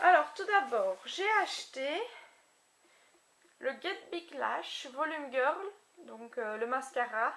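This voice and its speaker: A woman with a high pitch uses very wide pitch swings and big swings in loudness, leaving long, frequent pauses. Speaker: beauty vlogger. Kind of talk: casual haul video. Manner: animated.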